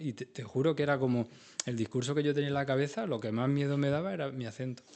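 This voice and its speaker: A man talks at a very fast pace. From Andalusia, Spain (Jaén province, near Úbeda). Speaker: industrial design trainer and consultant. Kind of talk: radio interview. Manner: animated.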